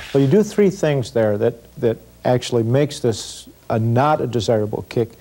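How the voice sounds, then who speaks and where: A man talks at a moderate pace with a dark, mellow tone. His pitch varies in an ordinary way. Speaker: self-defense instructor. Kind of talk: tutorial. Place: studio. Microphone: lapel.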